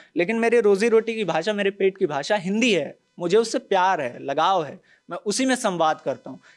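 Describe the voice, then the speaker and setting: Lively intonation comes with big swings in loudness. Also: man, high pitch for a man. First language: Bhojpuri (speaking Hindi). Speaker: journalist on a news panel show. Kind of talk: panel discussion. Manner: animated.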